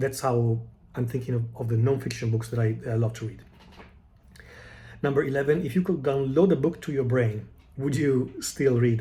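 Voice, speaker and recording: A somewhat breathy, dark, mellow voice with an Italian accent, moderate in pace, with ordinary pitch variation and long, frequent pauses. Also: man, medium pitch for a man. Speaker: book vlogger. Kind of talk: casual monologue answering tag questions. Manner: halting, many fillers and restarts.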